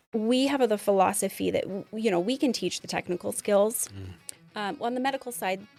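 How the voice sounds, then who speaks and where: Music plays in the background as a woman talks at a fairly quick pace. She has a Canadian accent and ordinary pitch variation. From southern Alberta, Canada. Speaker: beauty and medspa business owner. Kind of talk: interview answer. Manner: casual, conversational.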